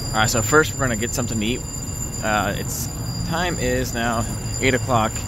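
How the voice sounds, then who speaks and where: Noticeable background noise surrounds a man whose voice sounds dry with no echo. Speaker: vlogger. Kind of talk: casual vlog chat. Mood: excited, cheerful. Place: street. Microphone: phone near.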